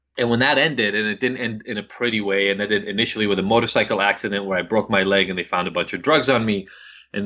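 He talks at a very fast pace. The man's pitch is fairly low. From Israel. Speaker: addiction expert. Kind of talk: interview.

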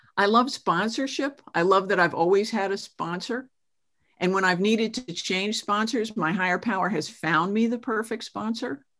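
A woman's ordinary speaking voice, medium in pitch, with ordinary pitch variation and a moderate pace. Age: 60s. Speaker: recovery program speaker. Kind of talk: testimony. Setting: video call.

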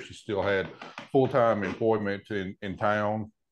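Speaking at a moderate pace, a man with a Tennessee accent and a fairly low pitch is heard over a quiet background. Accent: Southern US (Tennessee). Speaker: row crop farmer. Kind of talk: casual interview.

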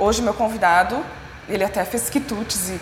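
A woman with a fairly high voice speaks at a moderate pace, with noticeable background noise and audible room echo. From Rio Grande do Sul, Serra Gaúcha. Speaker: podcast host, graphic designer. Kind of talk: casual chat. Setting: on location at a culinary school.

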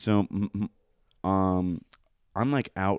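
A man talks with an American accent. His pitch sits fairly low. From Pennsylvania, Coatesville. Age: 20s. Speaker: podcast guest. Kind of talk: casual chat.

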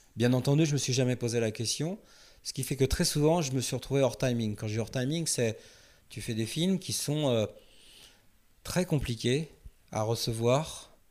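On a very clean recording with a silent background, a man at a medium pitch talks at a moderate pace with ordinary pitch variation and long, frequent pauses. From France, Paris suburbs. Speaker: film director. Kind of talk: interview.

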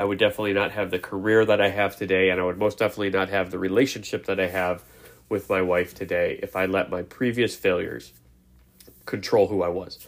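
A man talking very fast in a flat, monotone way, on a very clean recording with a silent background. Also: fairly low pitch for a man. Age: 30s. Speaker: motivational podcast host. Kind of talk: motivational monologue.

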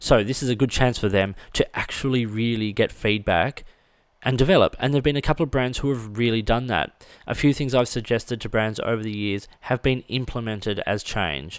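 On a very clean recording with a silent background, a man with an Australian accent talks fairly quickly at a medium pitch with ordinary pitch variation. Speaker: stationery reviewer and podcast host. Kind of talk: solo podcast monologue. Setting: studio.

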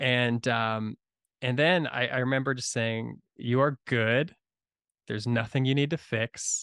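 Speaking at a fairly slow pace with fairly even intonation, a man of medium pitch comes through in a dry, close sound with no echo. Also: quiet background. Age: 30s. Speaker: podcast host. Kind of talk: casual chat. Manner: halting.

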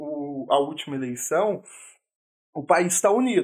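This man's lively intonation unfolds at a fairly slow pace on a very clean recording with a silent background. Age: 20s. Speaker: podcast co-host. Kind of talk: casual chat.

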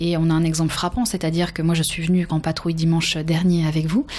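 A woman's fairly low-pitched voice at a fairly quick pace, over noticeable background noise. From France. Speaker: podcast host, professional trainer. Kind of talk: interview.

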